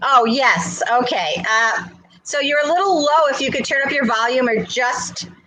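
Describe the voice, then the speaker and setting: A woman speaks loudly at a very slow pace, with audible room echo. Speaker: health talk show host. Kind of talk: casual chat. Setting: basement.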